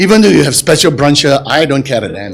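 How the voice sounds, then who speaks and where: A loud, animated man's voice. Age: 60s. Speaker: audience member asking a question. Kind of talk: audience question at book launch.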